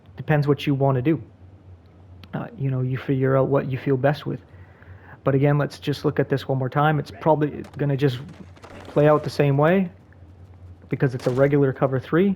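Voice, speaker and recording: Fairly high-pitched yet dark and mellow in tone, a man's somewhat breathy voice moves at a fairly quick pace with fairly even intonation and long, frequent pauses. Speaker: gaming tutorial creator. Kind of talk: tutorial. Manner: fast.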